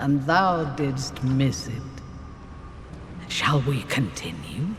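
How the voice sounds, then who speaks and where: A put-on character voice with a low-to-middle pitch speaks at a very slow pace, with a clear echo and clear background noise. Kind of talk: archaic Early Modern English. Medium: video game. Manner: formal, wry.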